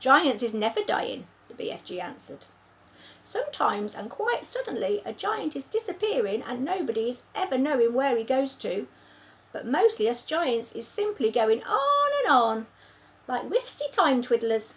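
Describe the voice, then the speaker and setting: Using a put-on character voice, a woman speaks with a high pitch at a moderate pace. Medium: read story. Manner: rustic, jumbled grammar.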